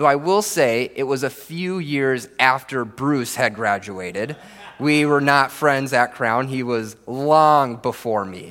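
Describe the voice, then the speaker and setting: A man with an American accent talks at a medium pitch. His pace is fairly slow, and his pitch varies in an ordinary way. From Minnesota. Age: 30s. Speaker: pastor. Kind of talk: sermon. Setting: church.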